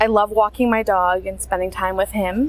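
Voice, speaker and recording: A woman's flat, monotone delivery in an American accent over noticeable background noise. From USA. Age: young. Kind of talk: interview answer.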